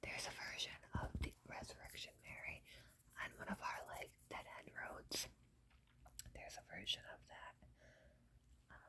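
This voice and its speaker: A woman whispers at a fairly slow pace, relaxed in tone. Long, frequent pauses run through her speech. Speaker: ASMR content creator. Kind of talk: casual talk to camera between stories. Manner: whispered, relaxed, casual.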